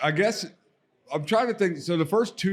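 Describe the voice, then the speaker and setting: Here a man speaks with a Baltimore accent. His pitch varies in an ordinary way. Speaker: podcast co-host, card business founder. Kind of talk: casual chat. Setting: live event lounge at a card show.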